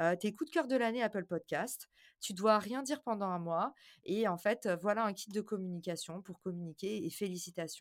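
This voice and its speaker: In a very clean recording with a silent background, a woman speaks at a moderate pace, her medium pitch showing ordinary variation. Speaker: marketing entrepreneur and podcaster. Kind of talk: interview conversation. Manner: animated.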